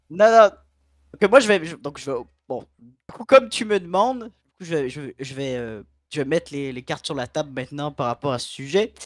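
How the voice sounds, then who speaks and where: Against a quiet background, a man speaks at a moderate pace with very wide pitch swings, big swings in loudness, and long, frequent pauses. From Quebec. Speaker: regular stream participant. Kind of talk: casual chat. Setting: voice chat. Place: home room.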